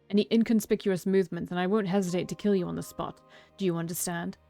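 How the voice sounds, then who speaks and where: Over music, a woman puts on a booming, growling character voice at a medium pitch, racing at a very fast pace in a monotone, flat intonation. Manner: menacing, growling threat.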